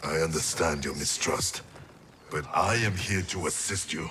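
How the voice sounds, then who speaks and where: Using a put-on character voice, a man speaks at a moderate pace with a very deep, low pitch. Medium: video game. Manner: terse, grave.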